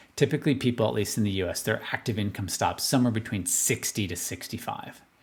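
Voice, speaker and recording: A very fast, somewhat breathy man's voice at medium pitch with ordinary pitch variation. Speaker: financial advisor. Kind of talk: market analysis video monologue.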